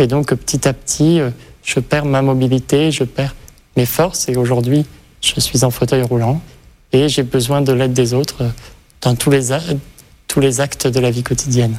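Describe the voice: A man's voice has a slightly mellow tone. His pitch moves very little. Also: medium pitch for a man, moderate pace.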